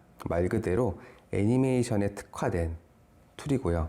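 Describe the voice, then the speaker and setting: At a moderate pace, a man talks in a dark, mellow tone with lively intonation. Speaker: software product specialist. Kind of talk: webinar product presentation. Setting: online webinar.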